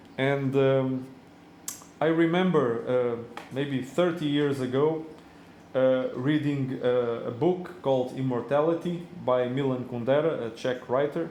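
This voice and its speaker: A man with a non-native accent and a medium pitch speaks at a fairly slow pace, with fairly even intonation, very even loudness, and audible room echo. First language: not English. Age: 40s. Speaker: reef tank hobbyist vlogger. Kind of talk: casual video monologue. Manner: halting, many fillers.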